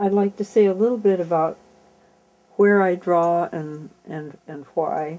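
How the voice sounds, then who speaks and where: Speaking with an American accent, a woman uses a dark, mellow tone and fairly low pitch at a fairly slow pace, with long, frequent pauses. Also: ordinary pitch variation. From California. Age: 90s. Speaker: artist, printmaker and ceramicist. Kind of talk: casual talk in her studio about her artwork. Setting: artist's studio. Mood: warm, fond. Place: workshop.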